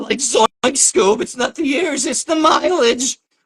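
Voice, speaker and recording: A man's cartoonish character voice, extremely high-pitched, at a fairly slow pace. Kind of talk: cartoon voice.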